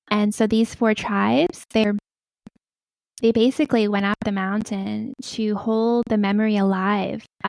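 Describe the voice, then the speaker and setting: A soft-spoken woman talks at a moderate pace with a medium pitch. The sound is dry and close, with no echo. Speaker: spiritual guide and tree communicator. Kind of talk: interview answer.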